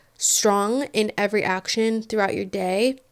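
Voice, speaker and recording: A woman at a medium pitch and fairly slow pace, in a very clean recording with a silent background. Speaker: podcast host. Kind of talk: self-help monologue. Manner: casual, conversational.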